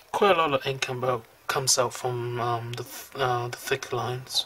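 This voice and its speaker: A man with a medium pitch talks at a fairly slow pace. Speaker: calligraphy hobbyist. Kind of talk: product review talk over demonstration. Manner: hesitant, many fillers.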